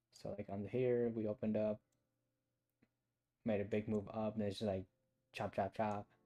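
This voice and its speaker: A man's fairly low, dark and mellow voice at a moderate pace, monotone and flat, with long, frequent pauses, in a dry, close sound with no echo. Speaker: day trading livestreamer. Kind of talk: live trading commentary. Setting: solo livestream reading chat. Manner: casual, thinking aloud.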